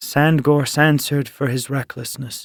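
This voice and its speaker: In a put-on character voice, the speaker moves at a moderate pace with monotone, flat intonation over a very clean recording with a silent background. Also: man. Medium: read story. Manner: grunting, muttering.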